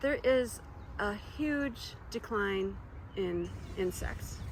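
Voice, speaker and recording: A woman speaks with an American accent. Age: 60s. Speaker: homeowner and native plant gardener. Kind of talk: documentary interview.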